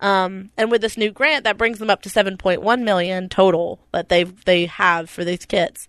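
In a normal speaking voice, a woman with an American accent talks at a fairly slow pace and medium pitch with ordinary pitch variation, the sound dry and close with no echo against a quiet background. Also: hardly any pauses. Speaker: podcast co-host. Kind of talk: casual chat.

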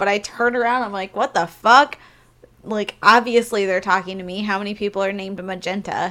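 A woman with an American accent speaks fairly quickly in a medium pitch, with a bright, sharp tone and fairly even intonation. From Missouri, US. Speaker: podcast co-host and burlesque performer. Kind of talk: casual chat.

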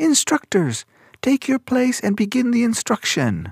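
A female-sounding voice uses a put-on character voice at a high pitch. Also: moderate pace. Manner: commanding, at attention.

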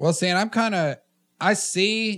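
The speaker is a man with a Southern US accent. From US South, Tennessee. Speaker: podcast host. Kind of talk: casual chat.

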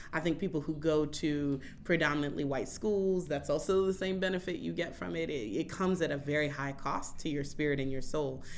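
Recorded with audible room echo, an American accent comes through with vocal fry, ordinary pitch variation and a fairly quick pace with hardly any pauses. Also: woman, very deep, low pitch for a woman. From Oakland, California. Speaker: community organizer. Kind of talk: casual interview.

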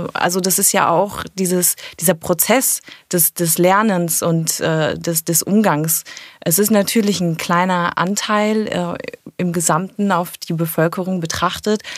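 Against noticeable background noise, a woman speaks fairly slowly at a fairly low pitch, her intonation fairly even. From Germany, Cologne. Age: 30s. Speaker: tourism manager. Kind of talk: interview.

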